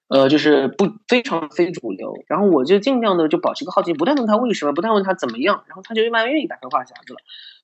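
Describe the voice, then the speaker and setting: At a very fast pace, a man speaks with high pitch and very wide pitch swings. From China, Suzhou. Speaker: study-abroad counselor. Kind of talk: casual chat.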